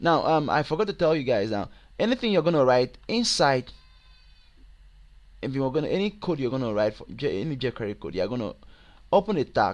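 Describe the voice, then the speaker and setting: A man with a Nigerian accent talks in a fairly high pitch with very wide pitch swings. He leaves long, frequent pauses. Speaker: web programming tutor. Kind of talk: tutorial. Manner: halting, many fillers.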